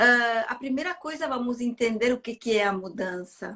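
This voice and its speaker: Here a woman talks with an Italian accent. She has a fairly high pitch. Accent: non-native Portuguese, Italian-tinged. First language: not Portuguese (speaking Portuguese). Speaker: therapist and neuro-linguistic programming trainer. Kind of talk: interview explanation. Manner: halting, with fillers.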